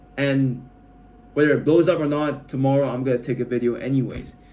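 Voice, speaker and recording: A man speaks at a moderate pace with medium pitch and fairly even intonation. Noticeable background noise sits behind him. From Malaysia. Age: 20s. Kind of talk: casual talk to camera. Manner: rambling, hesitant.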